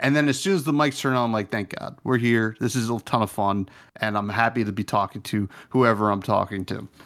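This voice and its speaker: A plain, everyday voice: a man at a medium pitch and a fairly quick pace, ordinary pitch variation, very clean recording with a silent background. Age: 30s. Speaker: podcast host guest. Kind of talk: casual chat.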